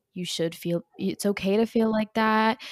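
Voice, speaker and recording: The recording is dry and close with no echo, as a woman with a plain, everyday voice talks at a moderate pace with ordinary pitch variation. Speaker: podcast co-host. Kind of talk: casual chat.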